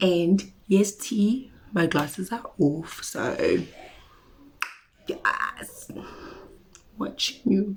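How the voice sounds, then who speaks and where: At a very slow pace, a woman speaks with long, frequent pauses. Her medium-pitched voice has lively intonation. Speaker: beauty vlogger. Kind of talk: casual haul video chat.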